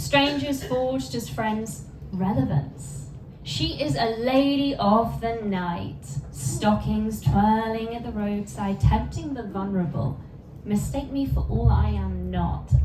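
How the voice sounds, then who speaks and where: A lot of noise can be heard behind the speaker. The delivery is extremely unhurried. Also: woman. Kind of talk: poetry reading.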